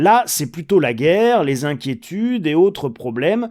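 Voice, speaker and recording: A man at a moderate pace, with a dark, mellow tone and very wide pitch swings, on a very clean recording with a silent background. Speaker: economics commentator. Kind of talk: monologue commentary. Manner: conversational, direct address to viewers.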